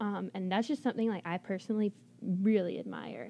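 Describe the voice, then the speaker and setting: A woman's voice at a medium pitch with ordinary pitch variation, an ordinary speaking voice, at a fairly quick pace. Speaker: college radio DJ. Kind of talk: casual chat. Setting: studio.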